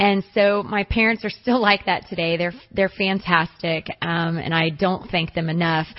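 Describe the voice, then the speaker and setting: In a normal speaking voice, a woman with fairly low pitch talks at a moderate pace with fairly even intonation and hardly any pauses. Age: young. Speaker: basketball coach. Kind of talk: radio interview.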